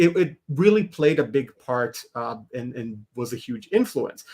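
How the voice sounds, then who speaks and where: A man talks with a fairly high voice. His pitch swings very widely. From Israel. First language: Hebrew. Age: 40s. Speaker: animator and comics creator. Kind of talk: podcast interview.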